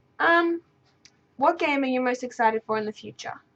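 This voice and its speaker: A woman's bright, sharp tone at a fairly quick pace. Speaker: youtuber, gamer vlogger. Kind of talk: casual Q&A vlog to camera. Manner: halting, self-interrupting.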